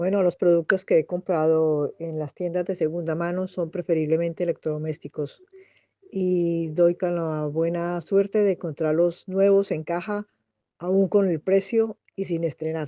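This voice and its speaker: Speaking at a fairly slow pace, a woman with a plain, everyday voice keeps a fairly low pitch and fairly even intonation. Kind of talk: interview answer.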